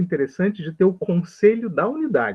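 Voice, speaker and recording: A man's voice swings very widely in pitch. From Brazil. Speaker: health professor. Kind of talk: lecture.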